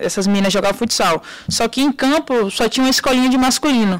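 Woman talking at a very fast pace with ordinary pitch variation over noticeable background noise. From Brazil, interior of Bahia. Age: 20s. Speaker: professional footballer. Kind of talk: interview.

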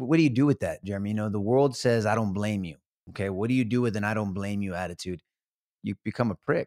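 A man with a fairly low voice and ordinary pitch variation speaks very fast in an American accent, recorded dry and close with no echo, very cleanly, against a silent background. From Texas, San Antonio. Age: 50s. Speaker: former district attorney. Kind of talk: testimony.

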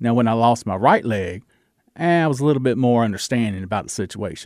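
A man at medium pitch with a Southern US accent and ordinary pitch variation, on a very clean recording with a silent background. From US South, Georgia. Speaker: radio DJ and actor. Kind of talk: interview chat. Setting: studio.

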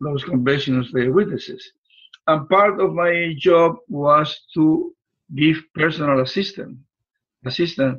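A man speaks with a Puerto Rican accent at a moderate pace. His voice sits fairly high, with ordinary pitch variation. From Puerto Rico. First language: Spanish. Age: 70s. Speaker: relationship coach. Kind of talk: interview, conversational.

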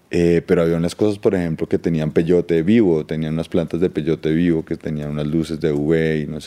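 A man's very deep, low voice with a dark, mellow tone, monotone and flat in intonation, at a fairly quick pace. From Colombia. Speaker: cultural promoter. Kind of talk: interview.

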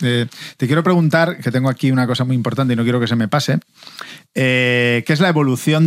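A man speaks in a plain, everyday voice. His pitch is medium, with ordinary variation. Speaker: podcast host, former footballer. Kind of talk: casual chat.

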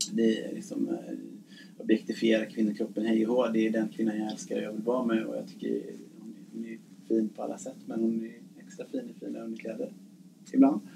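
The man's loudness rises and falls in big swings as he talks at a fairly quick pace. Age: 40s. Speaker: nurse. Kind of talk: casual chat. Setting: ship cabin. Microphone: poor sound quality.

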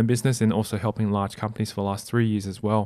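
On a very clean recording with a silent background, a man speaks very fast in an Australian accent. His tone is dark and mellow, his intonation monotone and flat. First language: non-English (family language). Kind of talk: casual interview.

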